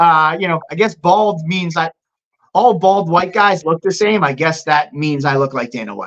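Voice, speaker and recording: Speaking with a Boston accent, a man uses a high pitch, ordinary pitch variation and a moderate pace. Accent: Boston-area American English. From Massachusetts, US. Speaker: MMA promoter. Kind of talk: casual interview.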